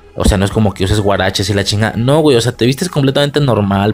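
A man speaks in a Mexican accent at a fairly low pitch with ordinary pitch variation. Music plays in the background. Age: 20s. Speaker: podcast host. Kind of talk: casual film commentary monologue. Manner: casual, profanity-laden.

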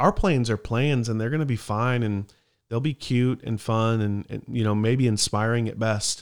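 Recorded very cleanly with a silent background, a man talks in a plain, everyday voice at medium pitch, a moderate pace and fairly even intonation. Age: 30s. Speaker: podcast host, church worker. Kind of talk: casual chat.

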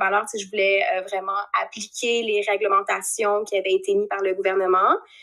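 A woman speaks with a Quebec accent in a bright, sharp tone. Her pace is fairly quick and her intonation fairly even. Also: hardly any pauses. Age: 30s. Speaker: podcast guest. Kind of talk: casual chat. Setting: video call.

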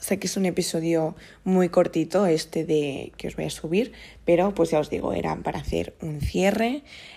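A woman speaks at a fairly slow pace with ordinary pitch variation. Her voice is fairly low, with a dark, mellow tone. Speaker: podcast host. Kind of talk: casual monologue. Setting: at home on the sofa. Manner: improvised, hesitant with fillers.

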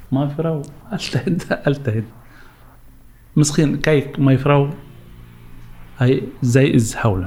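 A man with a fairly high voice speaks at a very slow pace. He leaves long, frequent pauses. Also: ordinary pitch variation. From Syria. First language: Arabic (speaking Dutch). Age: 40s. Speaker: refugee, bus driver. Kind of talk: interview testimony. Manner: halting.

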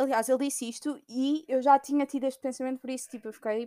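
In a very clean recording with a silent background, a woman with a European Portuguese accent speaks at a high pitch with ordinary pitch variation, her dark, mellow tone dry and close with no echo. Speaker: podcaster. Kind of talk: casual monologue. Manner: hesitant, many fillers.

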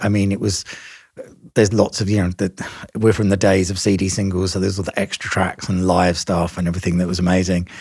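Over a very clean recording with a silent background, a man talks at a fairly quick pace. He has an unremarkable speaking voice with a fairly low pitch. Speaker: podcast host and record producer. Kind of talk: casual interview chat.

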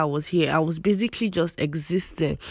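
A woman keeps her intonation fairly even while speaking at a moderate pace. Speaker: solo podcast host. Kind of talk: casual faith-based monologue. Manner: conversational with fillers and laughs.

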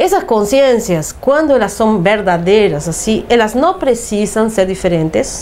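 A woman speaks at a fairly slow pace with hardly any pauses, her fairly high pitch making very wide swings. Her loudness stays very even over noticeable background noise. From Uruguay. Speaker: holistic therapist. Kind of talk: interview.

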